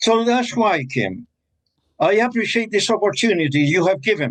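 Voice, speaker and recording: The man's voice is high in pitch. He speaks at a fairly slow pace. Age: 80s+. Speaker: father of a detained blogger. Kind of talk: interview. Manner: emotional, pleading.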